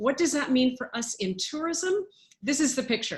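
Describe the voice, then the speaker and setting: In a Canadian accent, a woman speaks with lively intonation. Her pace is moderate. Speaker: international tourism official. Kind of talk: webinar presentation.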